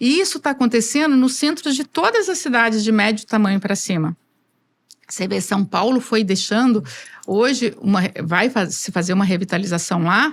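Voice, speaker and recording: A somewhat breathy woman speaks at a moderate pace. Her pitch is fairly high, with lively intonation. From Brazil, rural interior. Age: 60s. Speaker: engineer, construction association president. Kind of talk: interview.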